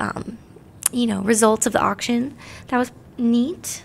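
Speaking fairly slowly with an American accent, a woman uses a normal speaking voice pitched fairly high. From New Jersey. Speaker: teacher. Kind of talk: casual interview chat.

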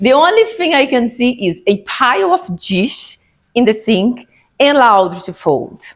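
Against a quiet background, the speech goes at a very slow pace with very wide pitch swings. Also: woman. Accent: non-native. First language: not English. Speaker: Toastmasters speaker. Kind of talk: public speech. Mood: warm, humorous. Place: meeting room.

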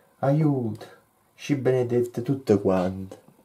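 The voice has a dark, mellow tone and ordinary pitch variation, moving at a very slow pace. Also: man. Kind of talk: poetry reading.

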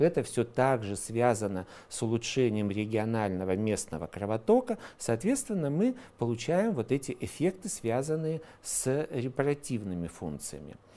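The man's pitch swings very widely. He keeps a moderate pace. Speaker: presenter. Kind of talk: lecture. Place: studio. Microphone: lapel.

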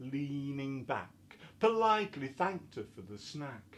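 A fairly high-pitched man with a Yorkshire accent, somewhat breathy, fairly slow, with very wide pitch swings. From Yorkshire, England. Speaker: poet. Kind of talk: poetry reading. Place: home room. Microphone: webcam.

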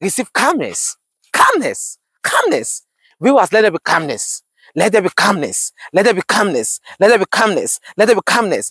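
Against a quiet background, a man speaks at a moderate pace in a dry sound with no echo. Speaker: pastor. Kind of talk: fervent repetitive prayer, declaring blessings over viewers. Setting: outdoors, walking while filming. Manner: urgent, exhortatory commands. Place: open country.

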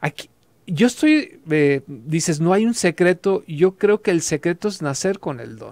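Over a quiet background, the speaker goes at a fairly slow pace with lively intonation and big swings in loudness. The sound is dry, with no echo. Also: man, high pitch for a man. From Jalisco, Mexico. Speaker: radio host. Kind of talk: radio interview. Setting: studio. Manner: halting. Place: studio. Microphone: studio mic.

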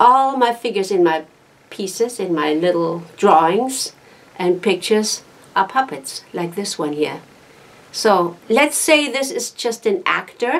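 This woman talks at a fairly slow pace. Her pitch swings very widely. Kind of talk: casual show-and-tell talk. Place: home room. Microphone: phone near.

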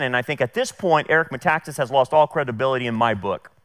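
The speech comes at a very fast pace. Behind it, the background is quiet. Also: man. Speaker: pastor. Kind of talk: sermon. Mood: firm, critical. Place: church. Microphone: headset.

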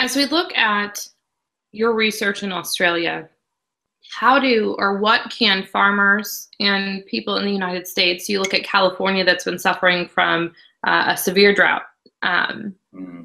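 Against a quiet background, a woman with a Midwestern American accent speaks at a moderate pace in a bright, sharp tone with fairly even intonation. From Illinois, US Midwest. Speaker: agricultural news reporter. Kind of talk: interview. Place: home room.

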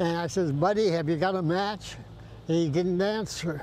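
Over light background noise, a man talks at a high pitch with ordinary pitch variation in a dry sound with no echo. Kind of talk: interview answer. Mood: emotional, reflective. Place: beach.

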